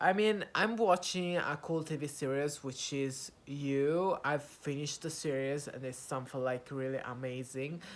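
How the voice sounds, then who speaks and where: A man's fairly high voice with an Italian accent and ordinary pitch variation, on a very clean recording with a silent background. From Italy. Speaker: YouTuber practicing English. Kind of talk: casual vlog monologue. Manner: halting, many fillers.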